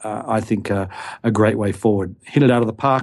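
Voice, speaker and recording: A man with an Australian accent, medium pitch and a dark, mellow tone, talking at a fairly quick pace in a very clean recording with a silent background. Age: 50s. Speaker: investment expert. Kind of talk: interview. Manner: halting, many fillers.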